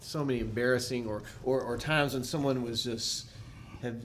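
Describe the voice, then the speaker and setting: With an American accent, a man talks at a moderate pace and a medium pitch in monotone, flat intonation, with audible room echo. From US South, Nashville. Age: 40s. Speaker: musician. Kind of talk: casual chat.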